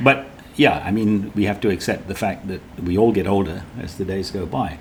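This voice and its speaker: Speaking at a moderate pace with a British accent, a man uses a fairly low pitch and ordinary pitch variation, his voice somewhat breathy. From Britain. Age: 70s. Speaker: cancer survivor. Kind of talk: interview.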